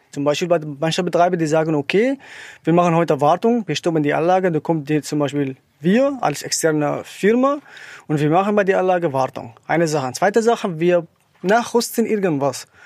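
Here a man talks at a fairly quick pace with an Arabic accent. His pitch is high and his intonation lively. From Syria. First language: Arabic (speaking German). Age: 30s. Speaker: wind turbine technician. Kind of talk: interview.

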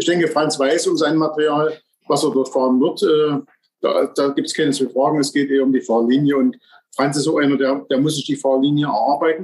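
At a fairly quick pace, a man holds very even loudness and fairly even intonation. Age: 50s. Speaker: former bobsleigh champion. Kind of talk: casual podcast interview.

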